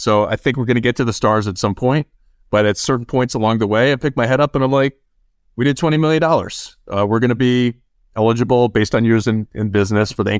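With an American accent, a man rattles along at a very fast pace in a very clean recording with a silent background. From US Midwest, Chicago area. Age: 30s. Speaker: recruiting firm founder. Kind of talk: interview.

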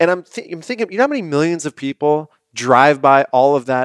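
A man with a plain, everyday voice and a fairly high pitch talks at a fairly quick pace with ordinary pitch variation, recorded very clean with a silent background and a dry, close sound with no echo. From US West Coast, San Diego. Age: 30s. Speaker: health product founder. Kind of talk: casual chat.

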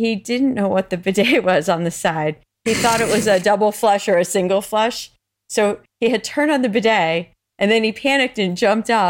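A woman with a plain, everyday voice speaks at medium pitch with ordinary pitch variation and very even loudness, in a very clean recording over a silent background. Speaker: podcast co-host. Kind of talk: casual chat.

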